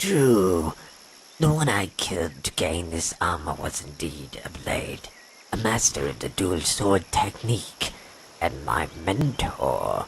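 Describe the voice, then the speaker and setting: Over clear background noise, a man uses a put-on character voice that is very deep and low, moving at a fairly slow pace. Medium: machinima. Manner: cold, contemptuous.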